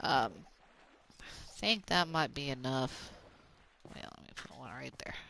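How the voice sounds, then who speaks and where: Fairly slow and full of long, frequent pauses, a woman speaks with a very deep, low pitch, vocal fry and a bright, sharp tone. Her intonation is lively and her loudness swings widely. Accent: American. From Oklahoma, US South. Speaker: gaming streamer. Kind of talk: casual chat.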